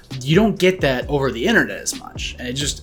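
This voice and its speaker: Very fast speech with very wide pitch swings over music in the background. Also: man. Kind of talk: casual chat. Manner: animated.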